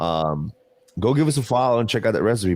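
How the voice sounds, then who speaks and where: With a New Jersey accent, a man speaks at a fairly quick pace. His intonation is lively. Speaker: podcast co-host. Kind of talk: casual chat. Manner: animated.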